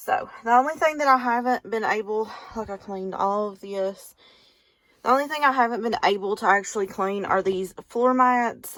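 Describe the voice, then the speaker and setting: With a Kentucky accent, a woman speaks at a fairly high pitch. Her pitch varies in an ordinary way. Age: 20s. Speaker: beauty vlogger. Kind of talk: casual talk to camera.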